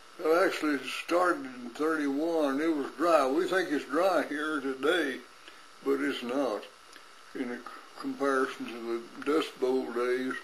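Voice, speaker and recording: Through noticeable background noise, a man with a West Texas accent speaks at a fairly slow pace, his pitch fairly high and his intonation fairly even. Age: 80s+. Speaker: farmer and rancher. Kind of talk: personal recollection.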